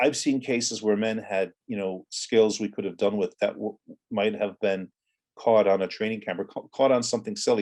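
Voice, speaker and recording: Fairly low male voice, a normal speaking voice, at a moderate pace with fairly even intonation. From Ireland, raised from teens after US childhood. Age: 60s. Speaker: former militant and author. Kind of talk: interview.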